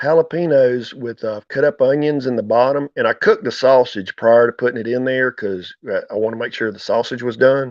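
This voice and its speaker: With a North Carolina accent, a man speaks at a fairly quick pace with hardly any pauses, his medium pitch following fairly even intonation. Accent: Southern, North Carolina. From US South, North Carolina. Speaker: farmer and YouTuber. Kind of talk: casual chat.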